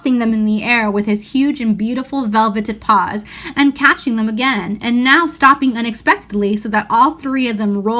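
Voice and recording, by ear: A natural voice reading aloud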